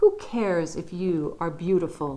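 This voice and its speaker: A woman puts on a character voice with a gentle, warm tone and fairly low pitch. She speaks at a moderate pace over light background noise. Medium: read story.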